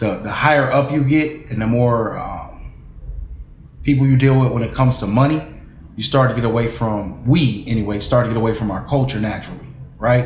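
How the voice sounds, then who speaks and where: A man speaks at a fairly quick pace in a medium pitch with ordinary pitch variation. Background noise is noticeable, and the room echo is audible. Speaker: talk show host. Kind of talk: interview. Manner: loud.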